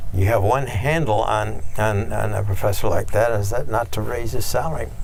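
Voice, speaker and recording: Audible echo from the room and noticeable background noise surround this man's speech. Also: moderate pace. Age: 90s. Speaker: retired engineering professor. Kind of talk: oral history interview. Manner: halting, many fillers and repeated words.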